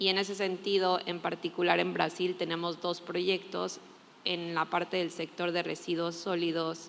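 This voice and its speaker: A woman's fairly low voice at a moderate pace, in a monotone, flat intonation. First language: Spanish (speaking Portuguese). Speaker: climate NGO expert, panelist. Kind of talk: panel discussion.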